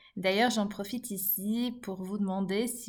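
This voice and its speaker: A normal speaking voice at a fairly slow pace with fairly even intonation. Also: woman. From Belgium, Liège. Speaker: podcast host and coach. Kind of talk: podcast narration.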